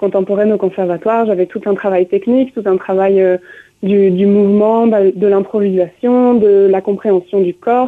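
At a fairly slow pace and with fairly even intonation, a woman speaks in an ordinary speaking voice. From France, grew up touring with a circus. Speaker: musician, violinist and dancer. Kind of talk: radio interview.

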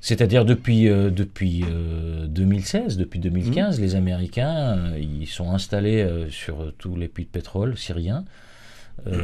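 This man's voice is very deep and low, with a dark, mellow tone. He talks at a very slow pace with ordinary pitch variation. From Syria, Aleppo. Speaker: Syrian refugee. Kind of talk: radio interview. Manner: halting, many repetitions.

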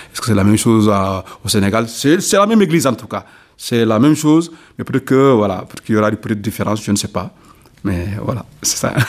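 Intonation stays lively while the words come out very fast. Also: man, medium pitch for a man. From Senegal, Ziguinchor region (south). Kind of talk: radio interview. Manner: halting.

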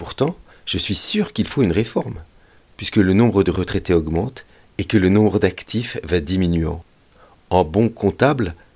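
A man speaks in a very deep, low voice at a moderate pace, with ordinary pitch variation. The recording is very clean, with a silent background. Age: 60s. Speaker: retired veterinary school teacher, radio commentator. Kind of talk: scripted radio commentary. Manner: formal.

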